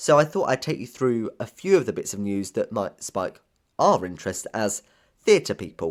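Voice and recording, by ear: A man speaks with a fairly low pitch and big pitch swings. The recording is very clean, with a silent background. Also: moderate pace.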